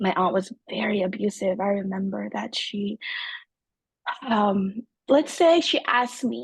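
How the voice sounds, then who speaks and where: Fairly high in pitch and somewhat breathy, a woman speaks with ordinary pitch variation in a dry, close sound with no echo. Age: 30s. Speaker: trauma survivor sharing story. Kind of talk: testimony. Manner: halting.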